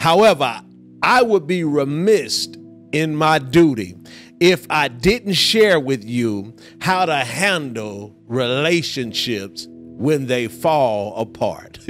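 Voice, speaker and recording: Faint music plays in the background as the speaker goes at a very slow pace. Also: man. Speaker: pastor. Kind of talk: sermon. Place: hall. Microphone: handheld.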